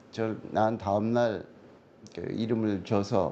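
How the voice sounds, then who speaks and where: Amid audible room echo, a man speaks very slowly in a dark, mellow tone. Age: 70s. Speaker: fortune-telling scholar. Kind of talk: interview. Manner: halting.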